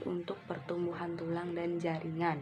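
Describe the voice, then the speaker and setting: The speaker goes at a fairly slow pace. Music plays in the background. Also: woman. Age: 20s. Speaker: university student. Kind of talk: recorded class assignment presentation. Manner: explanatory, with filler words and self-corrections.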